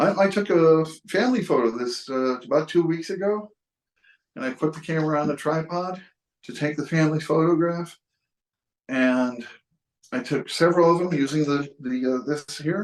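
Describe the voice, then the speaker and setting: The speaker has a Western New York accent and talks at a moderate pace. The pitch varies in an ordinary way, with long, frequent pauses. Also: man, fairly high pitch for a man. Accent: Western New York (US Inland North). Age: 60s. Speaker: photographer. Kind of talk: casual tutorial and personal story. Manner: halting, many fillers and restarts.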